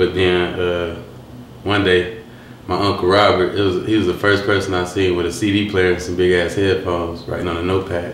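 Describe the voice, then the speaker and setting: A man's very deep, low voice with a Southern US accent, monotone and flat, at a fairly quick pace, with audible room echo and noticeable background noise. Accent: Southern-sounding. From Detroit, west side. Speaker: rapper. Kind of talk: interview. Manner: halting, with fillers.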